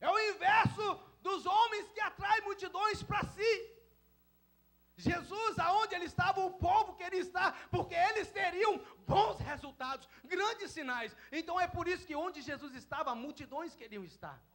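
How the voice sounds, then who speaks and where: A man speaks with an extremely high pitch and a bright, sharp tone. He goes fairly slowly, with ordinary pitch variation. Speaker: pastor. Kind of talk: sermon. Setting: church.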